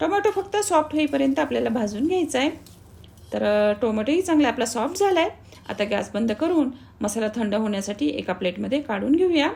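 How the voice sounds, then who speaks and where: A woman's high voice with very wide pitch swings. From Marathwada, Maharashtra, India. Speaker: cooking channel host. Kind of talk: cooking tutorial.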